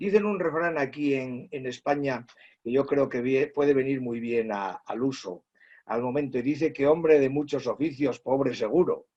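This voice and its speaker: With a dark, mellow tone, a man talks at a moderate pace in a fairly high pitch with ordinary pitch variation. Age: 60s. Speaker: teacher. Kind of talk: interview testimony. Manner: halting, many fillers.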